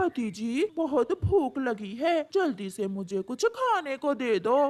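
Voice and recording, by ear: This female-sounding voice is a cartoonish character voice, high in pitch. It moves at a fairly slow pace.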